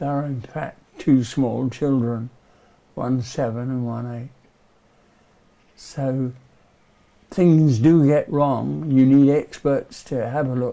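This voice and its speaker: A man talks at a very slow pace, leaving long, frequent pauses, with fairly even intonation. His tone is dark and mellow, and the background is quiet. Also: medium pitch for a man. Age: 80s+. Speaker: volunteer church ossuary steward. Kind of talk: documentary interview reflection. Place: tunnel cave.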